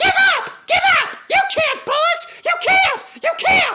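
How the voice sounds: In a put-on character voice pitched extremely high, a man talks at a fairly slow pace with a bright, sharp tone and ordinary pitch variation.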